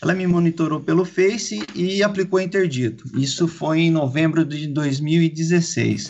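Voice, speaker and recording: With noticeable background noise behind him, a man speaks fairly slowly in a high pitch with ordinary variation and hardly any pauses. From Campinas, São Paulo state, Brazil. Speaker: cycling event organizer. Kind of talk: casual interview.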